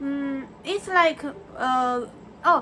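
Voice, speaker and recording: A woman with a Chinese accent projects a raised, high voice with a bright, sharp tone and ordinary pitch variation. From China. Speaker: vlogger. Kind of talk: personal reflection monologue. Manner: halting, many fillers and restarts.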